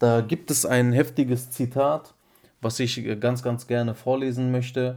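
Speaking in a flat monotone, a man has a dark, mellow tone. He goes fairly slowly, with long, frequent pauses. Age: 20s. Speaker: podcast co-host. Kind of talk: casual chat.

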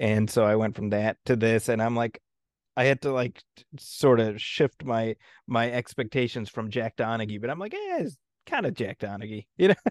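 Against a quiet background, with a dry, close sound and no echo, a man speaks at medium pitch and moderate pace with ordinary pitch variation and big swings in loudness. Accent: American. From US Midwest, Chicago suburbs. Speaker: film critic. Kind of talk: casual chat. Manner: halting, many fillers and restarts.

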